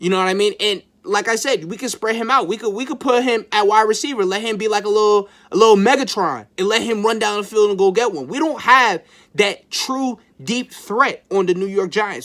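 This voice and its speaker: Recorded very cleanly against a silent background, a man talks at a moderate pace in a high pitch, with an animated tone and ordinary pitch variation. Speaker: sports YouTuber, football fan. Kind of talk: casual sports commentary monologue. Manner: animated, excitable; halting, repeats words.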